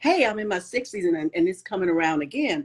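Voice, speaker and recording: This woman has an unremarkable speaking voice. She talks with an American accent. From Chicago suburbs. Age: 60s. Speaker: podcast host. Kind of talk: interview. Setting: Instagram live video.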